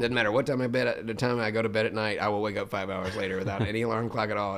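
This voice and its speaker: Noticeable background noise sits behind a man with an American accent talking at a very fast pace. His pitch is fairly low, with ordinary pitch variation. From Memphis, Tennessee, USA. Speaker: professional voice actor, former forklift driver. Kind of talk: casual podcast interview answer. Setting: podcast interview.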